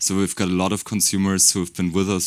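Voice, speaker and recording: The speaker has a German accent and talks at a very fast pace. The recording is very clean, with a silent background. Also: man. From Germany. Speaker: beauty brand marketer. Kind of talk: panel discussion.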